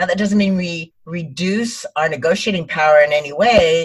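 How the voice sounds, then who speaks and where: A woman speaks at a moderate pace with ordinary pitch variation. Her voice is fairly low and somewhat breathy. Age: 60s. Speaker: speaker and image consultant. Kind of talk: casual interview chat. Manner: calm and upbeat.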